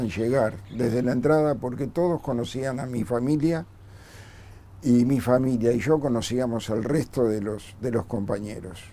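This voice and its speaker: A man's dark, mellow voice in a Rioplatense accent, medium in pitch, at a moderate pace with ordinary pitch variation. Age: 60s. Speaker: bombing survivor and former community worker. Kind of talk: testimony.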